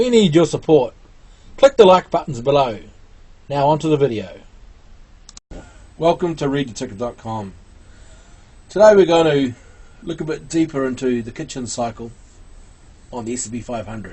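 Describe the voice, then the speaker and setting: The voice is somewhat breathy, with lively intonation. It moves at a moderate pace with long, frequent pauses. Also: man. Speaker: market analyst, channel host. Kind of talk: chart analysis tutorial. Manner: casual, frequent fillers.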